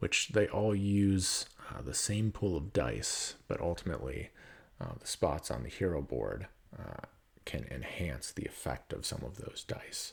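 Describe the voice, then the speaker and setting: Vocal fry runs through a man's very deep, low voice, which carries lively intonation. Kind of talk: soft-spoken ASMR board game unboxing. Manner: soft-spoken, hesitant, slow.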